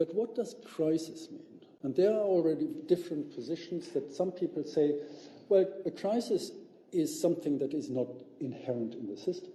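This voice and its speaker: With a German accent, a man talks at a moderate pace in a high pitch for a man, his tone dark and mellow and his intonation lively. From Germany. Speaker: visiting professor, sociologist. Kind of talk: lecture. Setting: public lecture with audience. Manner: halting, with many fillers.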